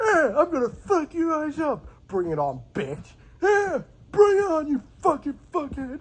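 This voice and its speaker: The put-on character voice is high in pitch. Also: moderate pace. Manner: gruff, belligerent.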